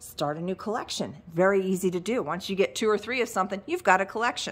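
Ordinary pitch variation comes with a fairly quick pace of speech. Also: woman. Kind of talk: live-sale shop tour commentary. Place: shop. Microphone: phone near.

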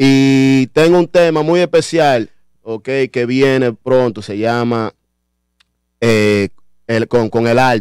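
Speaking very slowly with long, frequent pauses, a man uses ordinary pitch variation in a dry recording with no echo and a quiet background. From Dominican Republic (La Vega) and the Bronx, New York; Dominican Republic. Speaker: rapper; guest. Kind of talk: radio interview. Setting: radio studio. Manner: halting. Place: studio. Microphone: studio mic.

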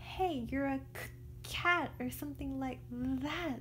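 Someone speaks in a put-on character voice at a fairly slow pace. Background noise is clearly heard. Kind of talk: read-aloud storytelling. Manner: stammering.

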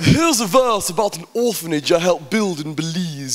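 Through noticeable background noise, a man talks at a moderate pace while his pitch swings very widely. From England. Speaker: performance poet. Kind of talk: live spoken word poetry performance. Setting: live venue.

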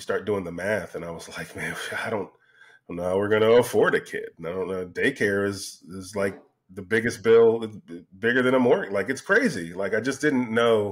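With big swings in loudness, a man talks at a moderate pace in a fairly low pitch with ordinary pitch variation. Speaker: podcast guest. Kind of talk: interview answer. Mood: reflective, candid. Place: home room. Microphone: studio mic.

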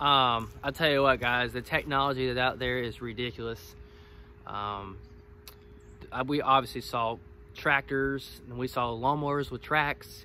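Over light background noise, a man speaks with a bright, sharp tone and fairly even intonation. The sound is dry with no echo. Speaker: woodyard owner vlogger. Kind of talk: casual vlog chat. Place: forest. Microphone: phone near.

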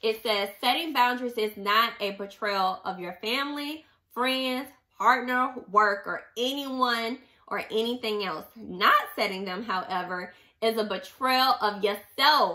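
A woman talks at a fairly slow pace in an animated tone, her fairly high pitch carrying a bright, sharp tone with ordinary pitch variation. The background is quiet. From US. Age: 30s. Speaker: book club podcast host; podcast host, book reviewer. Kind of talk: casual monologue with book readings. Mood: sassy, emphatic. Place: home room. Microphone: studio mic.

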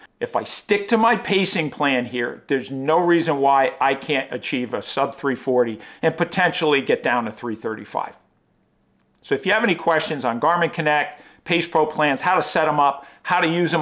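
Moderate pace, ordinary pitch variation, and a quiet background. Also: man. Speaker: running vlogger. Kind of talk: casual vlog chat. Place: home room.

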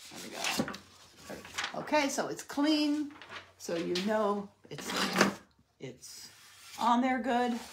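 A woman talks fairly slowly with a lively melody while noticeable background noise carries on. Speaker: DIY crafts livestream host. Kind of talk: live craft tutorial. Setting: home livestream. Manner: chatty, warm.

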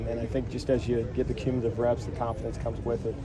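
Loud background noise runs beneath a man's speech. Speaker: football coach. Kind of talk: interview answer. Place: street.

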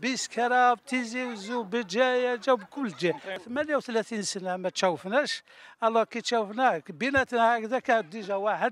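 Ordinary pitch variation comes through in a dry sound with no echo. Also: man. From Algeria, Tizi Ouzou; Algeria. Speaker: army veteran, former amateur footballer. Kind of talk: interview. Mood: warm, grateful. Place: stadium. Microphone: handheld.

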